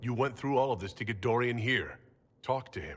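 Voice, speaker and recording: A man performs a put-on character voice. His intonation stays fairly even. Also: medium pitch for a man, fairly quick pace. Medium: video game. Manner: calm, dry.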